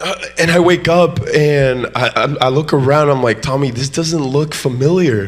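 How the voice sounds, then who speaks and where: A man's fairly high voice moves at a fairly slow pace with ordinary pitch variation while noticeable background noise runs underneath. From Mexico, moved to US in fifth grade. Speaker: guest preacher. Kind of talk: sermon. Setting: church. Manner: animated.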